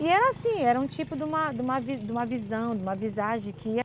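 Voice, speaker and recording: Lively intonation marks a woman's unremarkable speaking voice as she talks at a fairly quick speed. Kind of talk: interview answer, folk tale telling.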